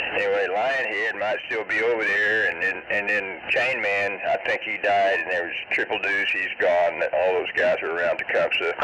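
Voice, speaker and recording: A man keeps a moderate pace with hardly any pauses while noticeable background noise carries on. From central Oklahoma. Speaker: CB radio operator. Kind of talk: CB radio chat. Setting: CB radio transmission.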